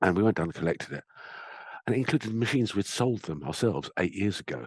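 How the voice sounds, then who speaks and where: Over a quiet background, a man with a fairly low voice talks at a very fast pace. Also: dry, close sound with no echo. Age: 60s. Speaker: IT refurbishing salesman and accountant. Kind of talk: podcast interview.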